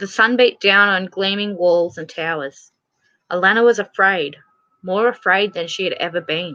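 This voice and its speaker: A woman's bright, sharp tone with ordinary pitch variation. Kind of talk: audiobook reading. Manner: lisp.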